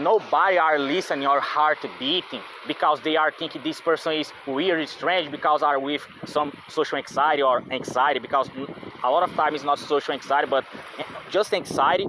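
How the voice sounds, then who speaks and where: A man with a non-native accent speaks at a moderate pace in a fairly high pitch. His intonation is fairly even, and background noise is noticeable. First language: not English. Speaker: vlogger. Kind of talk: casual monologue. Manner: halting, many fillers and repetitions.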